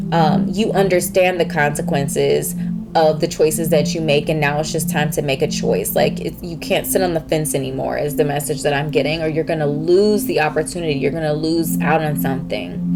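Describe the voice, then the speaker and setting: Through noticeable background noise, a woman with a very deep, low pitch talks at a fairly quick pace with hardly any pauses and ordinary pitch variation. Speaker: tarot reader. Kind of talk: pick-a-card tarot reading. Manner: fast; animated.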